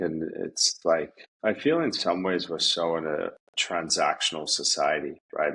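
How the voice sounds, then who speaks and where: A man speaks with an Australian accent. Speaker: yoga teacher. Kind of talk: casual chat.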